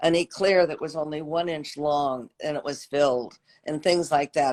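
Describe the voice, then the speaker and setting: A woman's very deep, low voice with ordinary pitch variation. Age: 80s+. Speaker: pastry chef and former shoe designer. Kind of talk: casual chat. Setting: video call.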